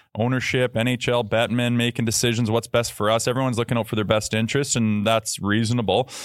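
A man's medium-pitched voice at a very fast pace, monotone and flat, with very even loudness and hardly any pauses. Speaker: podcast co-host. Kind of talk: casual chat. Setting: live studio at event.

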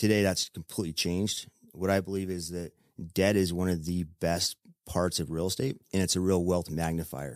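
Very deep and low, a man with an American accent talks at a moderate pace with fairly even intonation. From Utah. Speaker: real estate investor. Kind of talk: interview.

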